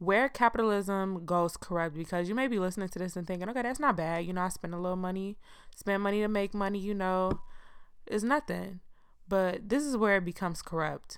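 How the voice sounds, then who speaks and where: An American accent at a fairly quick pace. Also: woman, medium pitch for a woman. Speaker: podcast host. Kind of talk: casual solo podcast monologue. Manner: monotone; casual, informal.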